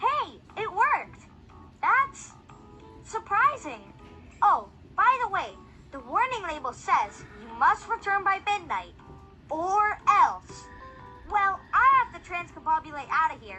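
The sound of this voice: The speaker uses a put-on character voice at a fairly slow pace, with long, frequent pauses. Clear music sounds in the background. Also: woman, extremely high pitch for a woman.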